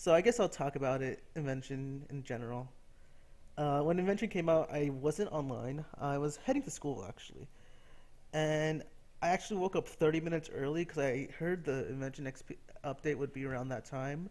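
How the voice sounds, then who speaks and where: Here is a man with a plain, everyday voice. He talks at a fairly quick pace, fairly high in pitch with ordinary pitch variation. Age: 20s. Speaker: gaming YouTuber. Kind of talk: casual gameplay commentary monologue. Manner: rambling, with many fillers.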